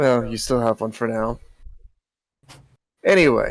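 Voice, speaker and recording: Raspy and at a medium pitch, a man performs a put-on character voice at a moderate pace. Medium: actual play. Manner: brusque.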